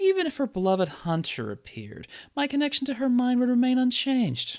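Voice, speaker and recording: A man uses a put-on character voice pitched extremely high, speaking at a fairly quick pace. The recording is very clean, with a silent background. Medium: read story. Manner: sultry, mocking.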